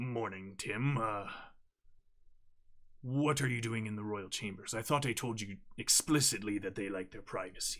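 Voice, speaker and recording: A man does a raspy, put-on character voice at a medium pitch. He leaves long, frequent pauses. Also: moderate pace, ordinary pitch variation. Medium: actual play. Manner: authoritative, weary.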